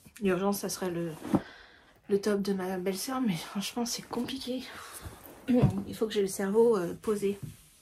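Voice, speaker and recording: Speaking at a fairly slow pace, a woman leaves long, frequent pauses, her pitch medium and her intonation fairly even. Noticeable background noise runs under her voice. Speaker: candle maker and knitting podcaster. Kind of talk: casual chat. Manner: hesitant, many fillers.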